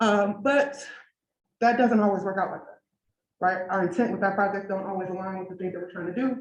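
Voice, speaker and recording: With an American accent, a woman talks at a fairly quick pace at medium pitch, her intonation showing ordinary variation as room echo is audible. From Detroit, Michigan, US. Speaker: engineer and researcher speaking at a design event. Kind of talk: conference talk. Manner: fast; conversational, lots of 'right?'.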